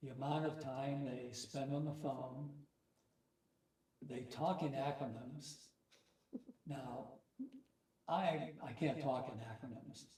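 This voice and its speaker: Somewhat breathy and dark, mellow in tone, the voice moves at a very slow pace with long, frequent pauses and audible room echo. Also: man, medium pitch for a man, fairly even intonation. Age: 80s+. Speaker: war veteran. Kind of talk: casual chat.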